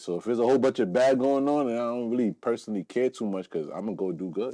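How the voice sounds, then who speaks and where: A man with a New York accent speaks very fast in a dark, mellow tone, with ordinary pitch variation and a dry, close sound that has no echo. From New York (Brooklyn, Long Island). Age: 30s. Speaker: podcaster and rapper. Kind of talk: casual interview.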